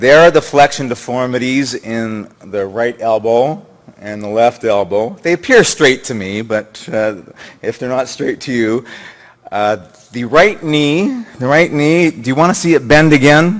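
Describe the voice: Here a man with a medium pitch talks at a fairly slow pace, using ordinary pitch variation.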